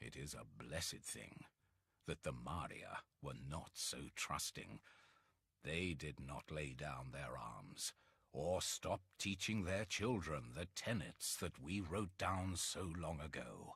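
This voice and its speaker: A man's put-on character voice, very deep and raspy, weary in tone and fairly slow in pace. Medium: dub. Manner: weary, slow.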